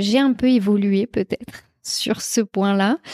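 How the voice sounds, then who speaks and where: A woman speaks with a fairly high pitch, a dark, mellow tone and fairly even intonation. The recording is very clean with a silent background and a dry, close sound with no echo. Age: 20s. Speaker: podcast host, entrepreneur. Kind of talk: solo podcast monologue.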